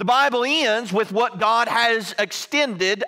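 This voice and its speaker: A man uses a raised, projected voice. The background is quiet. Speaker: preacher. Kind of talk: sermon. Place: church.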